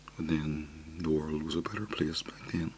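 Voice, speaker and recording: The speaker is soft-spoken, with ordinary pitch variation. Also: man. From Ireland. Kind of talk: soft-spoken ASMR talk.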